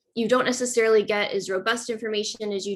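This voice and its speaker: Speaking at a fairly quick pace over a quiet background, a woman keeps her intonation fairly even. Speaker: money-in-politics researcher. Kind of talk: workshop presentation. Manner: fast. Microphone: video call.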